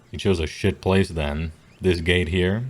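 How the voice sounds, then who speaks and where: A man puts on a gruff character voice with a very deep, low pitch. He talks at a moderate pace. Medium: actual play. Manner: distrustful, gruff.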